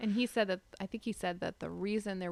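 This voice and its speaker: In a very clean recording with a silent background, a woman with an American accent talks at a fairly quick pace in a plain, everyday voice with fairly even intonation. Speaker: local historical society board member. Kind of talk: podcast conversation. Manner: casual, conversational.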